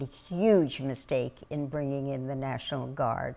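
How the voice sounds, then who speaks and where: Very slowly, a woman speaks in a very deep, low voice. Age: 80s+. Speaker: preservation activist. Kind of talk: interview testimony.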